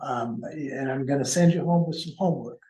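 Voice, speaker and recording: Soft-spoken and fairly high in pitch, a man talks at a moderate pace with ordinary pitch variation and audible room echo. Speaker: consultant presenting to a board. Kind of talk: meeting presentation. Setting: council meeting room, also on Zoom.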